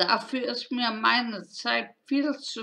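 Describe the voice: A woman's slow, vocal-fry delivery with a bright, sharp tone and ordinary pitch variation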